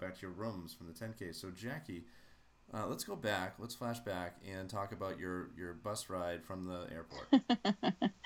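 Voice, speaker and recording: At a moderate pace, a man with an unremarkable speaking voice talks at fairly low pitch with ordinary pitch variation. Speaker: podcast host. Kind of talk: casual chat.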